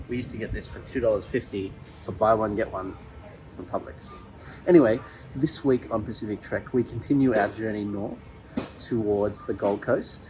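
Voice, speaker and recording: With an Australian accent, a man speaks at a moderate pace in a fairly low pitch with ordinary pitch variation. His loudness swings widely, and music plays in the background. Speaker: travel vlogger. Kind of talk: travel vlog narration. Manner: casual.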